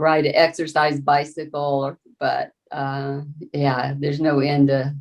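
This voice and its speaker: A fairly slow, monotone, flat delivery in a Southern US accent. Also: woman. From US South, rural Florida panhandle. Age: 70s. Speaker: farmer. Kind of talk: interview. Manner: halting, many fillers and restarts.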